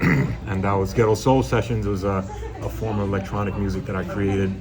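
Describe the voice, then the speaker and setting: A man with a New York accent speaks at a moderate pace in a fairly low voice with ordinary pitch variation, with music in the background and audible room echo. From New York City, the Bronx. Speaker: DJ. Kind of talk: interview. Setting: restaurant. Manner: soft-spoken.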